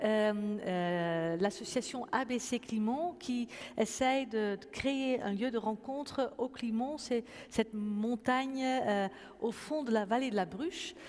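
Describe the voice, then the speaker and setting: Very slow speech from a woman in a Dutch accent, fairly high in pitch with ordinary variation. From Netherlands. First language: Dutch (speaking French). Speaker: pastor and event moderator. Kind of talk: moderated public conversation. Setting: church with audience. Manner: hesitant, many fillers.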